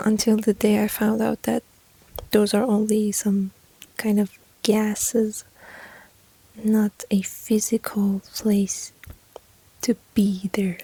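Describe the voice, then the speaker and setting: Very slow speech with long, frequent pauses in a gentle tone. Noticeable background noise runs underneath. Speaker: ASMR creator. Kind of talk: ASMR whisper-style personal attention talk. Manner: soft-spoken, gentle.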